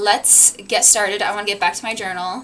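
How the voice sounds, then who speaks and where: Over music in the background, a woman at a medium pitch talks at a fairly quick pace. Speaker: book streamer. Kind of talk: casual livestream chat. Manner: halting, restarts sentences.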